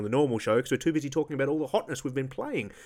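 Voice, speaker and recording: A man talks with an Australian accent. His pitch is fairly high. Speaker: podcast host. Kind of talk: casual chat. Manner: jokey, chatty.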